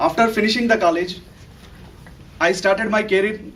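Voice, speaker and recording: His pitch moves in a normal, ordinary way. The man speaks at a fairly brisk pace. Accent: Indian. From India, Telugu-speaking state. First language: Telugu. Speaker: analyst developer, club member. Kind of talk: prepared speech. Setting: club meeting with audience.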